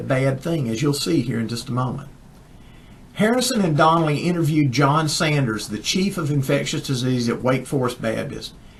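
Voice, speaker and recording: A man with a fairly high pitch, lively intonation and a Southern US accent. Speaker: chiropractor, science newsletter editor. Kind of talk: casual talk to camera.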